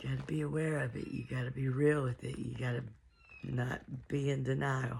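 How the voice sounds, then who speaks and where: Very deep and low, this woman's voice has ordinary pitch variation. She talks at a moderate pace. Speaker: musician and artist. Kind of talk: casual talk to camera, personal testimony.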